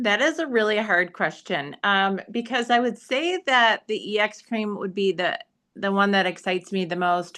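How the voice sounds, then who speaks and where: A woman with an American accent talks at a moderate pace and a medium pitch. Her tone is bright and sharp. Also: lively intonation. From Michigan. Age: 50s. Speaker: esthetician. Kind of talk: interview.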